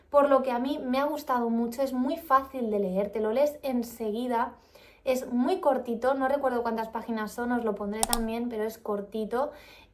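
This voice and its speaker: A woman speaks at a moderate pace in a calm tone, her pitch high and her intonation fairly even, with noticeable background noise. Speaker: vlogger. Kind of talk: book review vlog.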